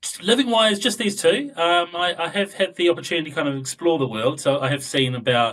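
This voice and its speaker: With a New Zealand accent, a man speaks at a fairly quick pace and a high pitch. His voice has very wide pitch swings. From southern New Zealand. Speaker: data analytics expert. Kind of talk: interview podcast.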